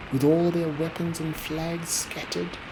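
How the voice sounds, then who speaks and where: The voice has a calm, soothing tone, with noticeable background noise behind it. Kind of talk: sleep story poetry reading. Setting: rain sounds in background.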